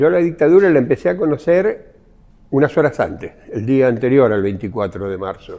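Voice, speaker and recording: The voice has a dark, mellow tone and very wide pitch swings at a moderate pace. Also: man, medium pitch for a man. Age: 70s. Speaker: former blacksmith, witness. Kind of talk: testimony.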